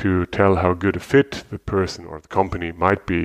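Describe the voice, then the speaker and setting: A man speaks at a moderate pace with a fairly low pitch and a German accent against a quiet background. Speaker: podcast host and interviewer. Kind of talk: interview; casual chat.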